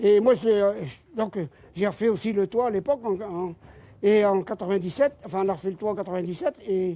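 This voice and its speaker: Speaking at a fairly quick pace, a man has a dark, mellow tone, a high pitch and ordinary pitch variation. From French Flanders (Terdeghem, Nord). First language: Flemish (speaking French). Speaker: miller, windmill owner. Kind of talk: guided demonstration on live TV. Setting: inside a windmill.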